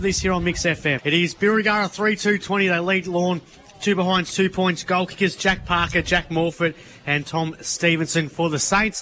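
With an Australian accent, a man speaks at a moderate pace in a high pitch and very even loudness, over noticeable background noise. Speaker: football commentator. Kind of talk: live commentary.

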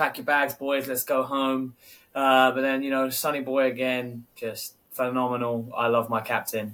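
In a London accent, a man speaks at a moderate pace with a medium pitch, a bright, sharp tone and monotone, flat intonation. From London, England. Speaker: football podcast co-host. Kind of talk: casual chat.

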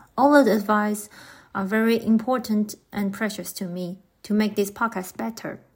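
In a very clean recording with a silent background, a somewhat breathy voice moves at a fairly slow pace with fairly even intonation. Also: woman. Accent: Taiwanese. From Taiwan. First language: Mandarin Chinese. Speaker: podcast host. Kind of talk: scripted podcast introduction.

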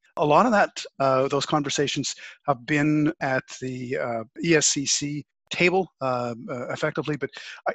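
In a Canadian accent, a man with a fairly high pitch uses a plain, everyday voice with ordinary pitch variation. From Canada. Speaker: podcast host. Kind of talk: interview conversation. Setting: video call.

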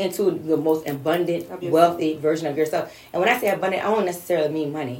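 Noticeable background noise and audible room echo surround a woman speaking at a very fast pace. Her pitch is fairly low, with ordinary variation. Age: 40s. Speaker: motivational speaker and business owner. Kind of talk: casual chat.

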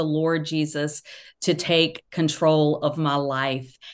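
A woman with a very deep, low pitch and a Southern US accent, monotone, flat intonation, against a quiet background. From US South, Georgia. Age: 40s. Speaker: author and social media commentator. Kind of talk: casual interview.

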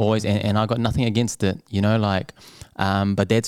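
With a New Zealand accent, a man speaks in a fairly low voice with monotone, flat intonation. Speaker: restaurant owner. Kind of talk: casual chat.

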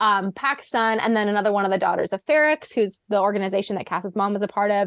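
At a fairly quick pace, a woman with an unremarkable speaking voice talks at medium pitch in a dry, close sound with no echo. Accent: American. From US Pacific Northwest. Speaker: medical student and former student athlete. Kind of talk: casual podcast discussion.

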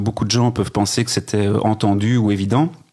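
A man is speaking. His pace is very fast. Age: 40s. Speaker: cinema director. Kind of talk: casual interview.

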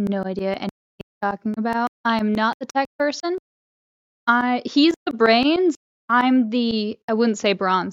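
Using a normal speaking voice, a woman with a fairly high pitch and lively intonation speaks at a fairly slow pace in a dry, close sound with no echo. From Connecticut, moved south around age seven. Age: 20s. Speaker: podcast co-host and cosplayer. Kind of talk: casual chat.

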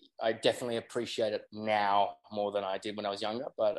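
Speaking at a medium pitch, this man has an Australian accent. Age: 30s. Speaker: yacht deckhand and reality TV personality. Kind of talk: casual chat.

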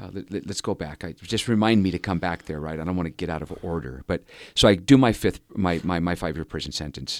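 A man with an American accent speaks at a fairly quick pace in a very deep, low voice. His pitch varies in an ordinary way, and there is vocal fry. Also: very clean recording, silent background. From Southern California. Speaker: former prisoner turned rehabilitation leader. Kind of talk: interview storytelling.

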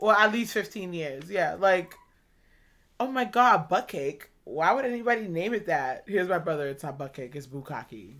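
A woman with a fairly low pitch, a fairly bright tone and lively intonation. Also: moderate pace.

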